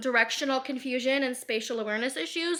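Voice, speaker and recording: A woman speaks at a high pitch in a raised, projected voice. Her tone is animated, bright and sharp. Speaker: lifestyle vlogger. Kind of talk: casual monologue vlog. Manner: fast.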